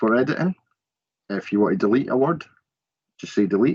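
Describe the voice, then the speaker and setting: Recorded with a dry, close sound and no echo, a man speaks in a Scottish Borders accent. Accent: Scottish Borders twang. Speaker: college learning support staff. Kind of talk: tutorial.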